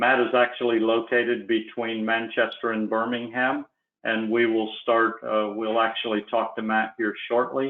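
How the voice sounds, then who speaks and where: Here a man with an American accent speaks at a moderate pace, medium in pitch and monotone, flat in intonation. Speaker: sales manager. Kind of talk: webinar presentation. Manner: hesitant, filler-heavy.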